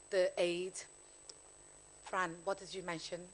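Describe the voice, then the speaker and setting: Speaking at a fairly low pitch, a woman talks with a Liverpool accent. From Liverpool, England. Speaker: panelist, former broadcaster. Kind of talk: panel discussion. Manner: halting.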